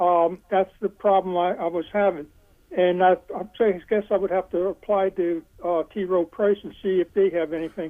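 A woman at a medium pitch and moderate pace, with monotone, flat intonation. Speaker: caller. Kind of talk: casual chat. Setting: phone call. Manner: halting.

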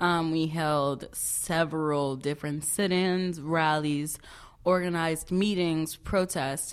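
A woman speaks at a fairly slow pace in a very deep, low voice with an American accent, recorded very cleanly against a silent background. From Chicago, south side. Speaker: student activist. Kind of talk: casual interview.

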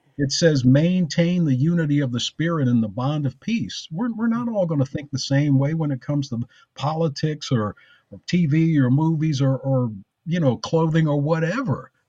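This man's voice has a dark, mellow tone, somewhat breathy and fairly high-pitched, with lively intonation at a moderate pace. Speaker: pastor. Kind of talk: casual chat. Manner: passionate.

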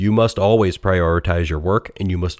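On a very clean recording with a silent background, a man with a very deep, low voice and an American accent speaks with ordinary pitch variation, the sound dry and close with no echo. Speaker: technology podcast host, engineering leader. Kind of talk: solo educational monologue. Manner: casual with frequent fillers.

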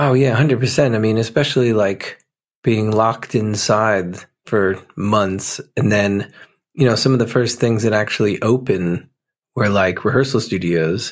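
A man speaks in a normal speaking voice with an American accent, his fairly low pitch carrying ordinary variation at a moderate pace. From New Jersey. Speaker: musician. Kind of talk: casual interview chat.

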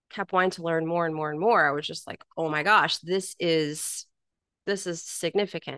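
In a dry, close recording with no echo and a quiet background, a woman speaks at a moderate pace with a fairly low pitch, a bright, sharp tone and monotone, flat intonation. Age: 40s. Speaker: health coach. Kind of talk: casual chat.

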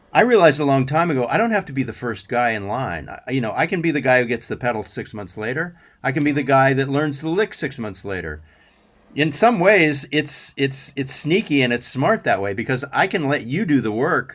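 On a very clean recording with a silent background, a man with an American accent talks at a fairly quick pace. He has an unremarkable speaking voice, fairly high pitch and lively intonation. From US Southwest, Albuquerque, New Mexico. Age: 60s. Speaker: session guitarist. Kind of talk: casual chat. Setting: studio.

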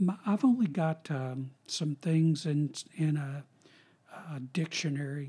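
A man speaks very slowly in a dark, mellow, somewhat breathy voice with fairly high pitch and ordinary pitch variation, on a very clean recording with a silent background. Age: 60s. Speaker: retired professor of philosophy and religion. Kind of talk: casual interview chat.

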